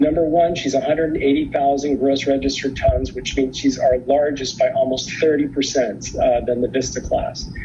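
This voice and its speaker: Music plays in the background as the voice runs on with hardly any pauses. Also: moderate pace. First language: not English. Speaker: cruise line representative. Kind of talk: conference presentation. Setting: virtual conference video. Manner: hesitant, many fillers.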